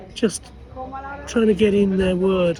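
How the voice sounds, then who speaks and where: Crowd noise fills the background as a man talks at a moderate pace. His pitch is high, with ordinary variation. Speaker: former journalist.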